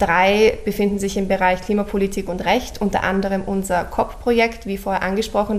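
A woman's medium-pitched voice, monotone and flat, at a moderate pace over noticeable background noise. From Austria, Vienna. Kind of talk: radio interview.

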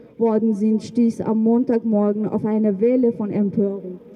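There is noticeable background noise in the clip. A woman talks at a fairly slow pace with a fairly high pitch. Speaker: rally speaker. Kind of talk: rally speech, reading a statement. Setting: outdoors at demonstration. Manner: formal, earnest, indignant.

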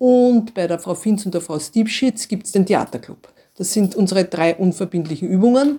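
Her tone dark and mellow, a woman speaks at medium pitch and a moderate pace with ordinary pitch variation. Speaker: school principal. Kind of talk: interview answers.

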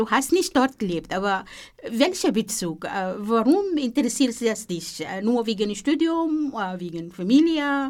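A woman's very slow speech in an Arabic accent, fairly high in pitch with very wide pitch swings. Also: very clean recording, silent background. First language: Arabic (speaking German). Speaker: radio host. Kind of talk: interview. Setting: studio.

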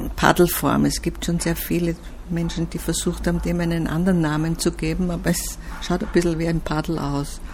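Moderately paced speech from a woman, with noticeable background noise. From Austria. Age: 70s. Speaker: artist. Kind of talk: interview.

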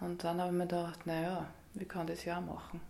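A fairly low-pitched woman's voice with vocal fry and audible room echo. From Upper Austria. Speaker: yoga teacher. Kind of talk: radio interview. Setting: yoga studio.

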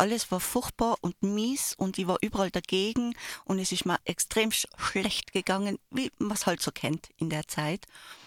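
On a very clean recording with a silent background, the sound is dry and close with no echo. A woman speaks at a medium pitch and a fairly slow pace, with ordinary pitch variation. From Landeck, Tyrol, Austria. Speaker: radio trainee. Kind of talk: casual radio chat. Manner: animated.

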